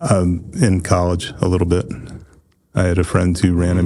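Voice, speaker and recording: A man with a very deep, low pitch and a dark, mellow tone speaks in a flat monotone at a moderate pace. His loudness stays very even. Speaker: counselor; podcast guest.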